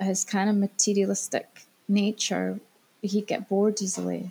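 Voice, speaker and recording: Her tone is dark and mellow, and somewhat breathy. The woman speaks in a monotone, flat intonation with long, frequent pauses. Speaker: guest sharing separation story. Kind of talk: interview. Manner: halting.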